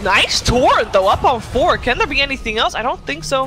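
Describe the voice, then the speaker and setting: Crowd noise fills the background as the speaker talks at a fairly quick pace. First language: not English. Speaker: esports commentator. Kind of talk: live commentary.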